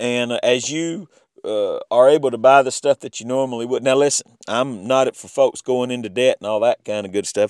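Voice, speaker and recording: With an American accent, a man speaks at a moderate pace and medium pitch with ordinary pitch variation and big swings in loudness, in a very clean, dry, close recording with no echo and a silent background. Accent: Southern US, stronger than usual. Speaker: podcast host. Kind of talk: podcast outro. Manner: casual, halting with fillers.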